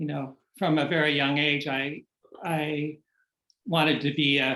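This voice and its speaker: A man speaks in a fairly high pitch with an American accent. His intonation is monotone and flat, and his pace is fairly slow. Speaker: novelist. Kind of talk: interview.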